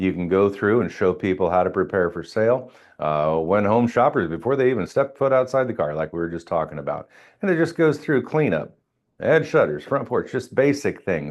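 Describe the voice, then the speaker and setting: At a fairly quick pace, a man with a fairly low-pitched voice speaks with very wide pitch swings. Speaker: real estate trainer. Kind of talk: training session.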